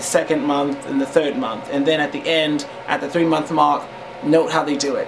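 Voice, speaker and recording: The recording has noticeable background noise and audible room echo, with ordinary pitch variation. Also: man. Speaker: vlogger. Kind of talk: casual advice talk. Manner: hesitant, many fillers.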